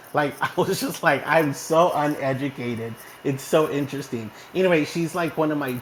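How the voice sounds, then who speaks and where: Against noticeable background noise, a man with an American accent talks in an animated tone, his fairly high pitch showing ordinary variation. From Texas, small town. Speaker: online community host. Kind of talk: casual chat. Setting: online audio room.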